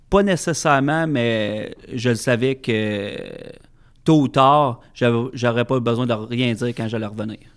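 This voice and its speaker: On a very clean recording with a silent background, a man speaks very slowly at a medium pitch with ordinary pitch variation. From Quebec, Centre-du-Québec (Plessisville). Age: 30s. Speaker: master sommelier. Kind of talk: casual interview. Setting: studio.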